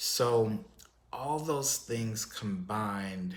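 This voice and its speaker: Audible room echo surrounds a man with an American accent. He speaks at a very slow pace with ordinary pitch variation. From Texas. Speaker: YouTube commentary host. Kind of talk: casual vlog monologue. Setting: solo on camera. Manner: hesitant, many fillers.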